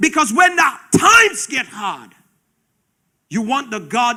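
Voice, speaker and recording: The man's pitch swings very widely. He uses a raised, projected voice. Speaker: preacher. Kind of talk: sermon.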